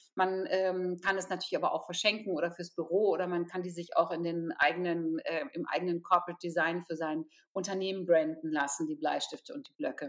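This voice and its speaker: Her voice is an unremarkable speaking voice, a woman's at a fairly low pitch, going at a fairly quick pace with hardly any pauses and ordinary pitch variation. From Potsdam, eastern Germany. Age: 50s. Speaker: charity founder. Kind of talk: interview.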